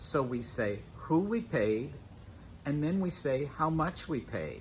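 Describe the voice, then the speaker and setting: With vocal fry and very wide pitch swings, a man speaks fairly slowly at a fairly high pitch. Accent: American. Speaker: English teacher. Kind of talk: educational lesson to camera. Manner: slow, clear.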